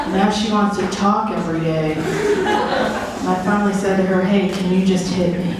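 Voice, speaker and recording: A woman talks at a moderate pace amid strong room echo and noticeable background noise. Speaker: stand-up comedian. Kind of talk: stand-up comedy routine. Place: stage.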